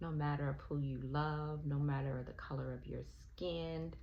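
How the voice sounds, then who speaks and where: The speaker has an American accent. Room echo can be heard. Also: woman. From US South, Alabama. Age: 60s. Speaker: spiritual vlogger. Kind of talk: personal reflection monologue. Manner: hesitant, with filler ums.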